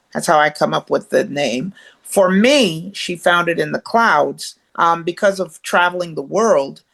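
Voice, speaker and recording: A woman's fairly low voice with vocal fry and lively intonation, at a fairly slow pace with hardly any pauses, against a quiet background. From Jamaica. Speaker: author and motivational speaker. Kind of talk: interview. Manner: hesitant, with fillers.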